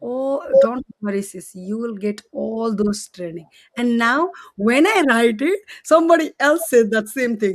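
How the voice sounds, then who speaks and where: A woman speaks fairly slowly with a Nepali accent, her fairly high pitch carried by lively intonation and big swings in loudness. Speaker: co-host. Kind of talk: live stream chat. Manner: halting.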